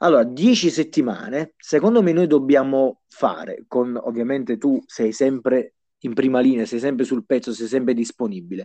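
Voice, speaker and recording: A man with a slight Neapolitan accent speaks at medium pitch and a moderate pace in a dark, mellow tone, with ordinary pitch variation and a dry, close sound with no echo. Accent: slight Neapolitan-sounding. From southern Italy, Bisceglie (Apulia). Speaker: fantasy football league player. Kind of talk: casual chat.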